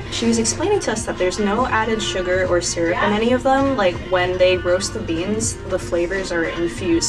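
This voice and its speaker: Clear music plays in the background as a woman talks at a moderate pace. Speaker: vlogger. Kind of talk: casual vlog chat. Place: street. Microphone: camera far.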